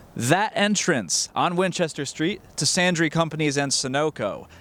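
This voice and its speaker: Speaking at a fairly slow pace, a man with an American accent has a normal speaking voice with fairly high pitch. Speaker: college journalism student, TV reporter and anchor. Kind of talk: TV news reporter package narration.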